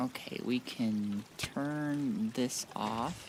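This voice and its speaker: There is noticeable background noise behind this man. His intonation is fairly even. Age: 20s. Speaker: streamer. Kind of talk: gaming livestream chat. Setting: livestream to YouTube and Twitch.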